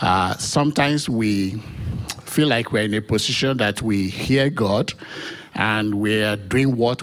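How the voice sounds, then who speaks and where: Over noticeable background noise, the voice moves with ordinary pitch variation. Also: man. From Nigeria. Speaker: church member giving testimony. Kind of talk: testimony.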